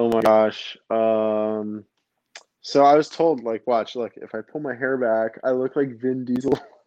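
Dark, mellow tone with an American accent, fairly even intonation and a fairly slow pace. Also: man, medium pitch for a man. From New Jersey. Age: 30s. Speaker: podcast guest, architect and tarot reader. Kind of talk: casual chat.

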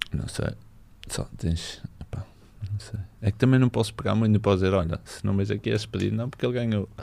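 A man with an ordinary speaking voice and a fairly low pitch talks at a fairly quick pace with ordinary pitch variation. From northern Portugal, Barcelos. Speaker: professional footballer. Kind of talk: casual chat.

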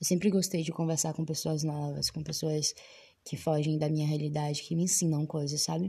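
A woman's very deep, low voice, dark and mellow and somewhat breathy, flat and monotone at a moderate pace against a quiet background. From Salvador, Bahia, Brazil. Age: 20s. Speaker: podcast host. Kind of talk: casual monologue. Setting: recording inside a wardrobe.

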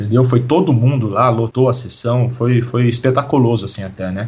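A man talks at a moderate pace in a medium pitch, his voice somewhat breathy and his intonation fairly even. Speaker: hip hop historian and teacher. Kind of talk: podcast interview.

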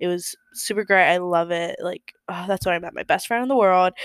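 A woman's medium-pitched voice comes through on a very clean recording with a silent background. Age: 20s. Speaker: podcaster, college student. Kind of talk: casual monologue. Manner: chatty, with laughs and fillers.

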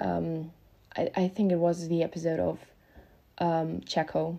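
A woman speaks in a German accent with a dark, mellow tone and fairly low pitch. The recording is very clean, with a silent background. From Germany. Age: 20s. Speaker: podcast host, motorsport fan. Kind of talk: solo casual monologue. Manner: halting, many filler ums.

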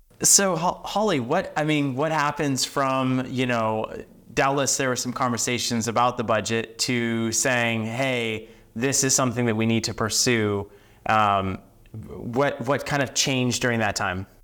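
In a very clean recording with a silent background, a man with an ordinary speaking voice talks at a medium pitch and fairly slow pace, with ordinary pitch variation. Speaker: podcast host. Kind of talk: interview.

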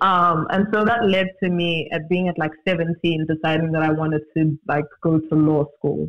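Speaking with a South African accent, a man keeps a moderate pace with hardly any pauses. His fairly high voice holds very even loudness and fairly even intonation. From Johannesburg, South Africa. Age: 20s. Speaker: multidisciplinary artist. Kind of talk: casual interview conversation. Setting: virtual recording, video call.

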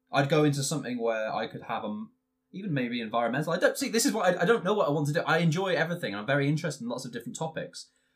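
A man's somewhat breathy voice at a very fast pace, with very wide pitch swings. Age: 20s. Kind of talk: casual chat.

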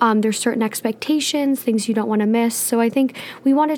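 Through noticeable background noise, a woman with a fairly high pitch speaks at a fairly quick pace with fairly even intonation. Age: 20s. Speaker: podcast co-host. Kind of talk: casual chat.

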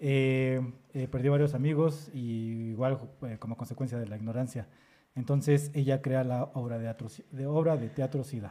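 A man speaks at a moderate pace with a medium pitch. His tone is dark and mellow, and his intonation fairly even. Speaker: podcast host. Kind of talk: casual chat.

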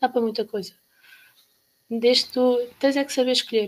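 A woman speaks at a fairly quick pace in a monotone, flat intonation. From Portugal, Caldas da Rainha. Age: 20s. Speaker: university student. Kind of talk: casual chat.

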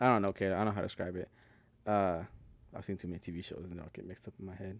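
In a very clean, dry and close recording with no echo and a silent background, a man with a fairly low voice talks in a flat monotone with an American accent. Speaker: podcast co-host. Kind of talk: casual chat.

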